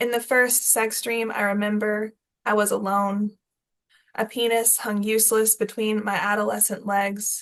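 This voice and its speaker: A woman's fairly high voice, flat and monotone, at a fairly slow pace. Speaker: poet. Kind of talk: poetry reading; casual spoken introduction.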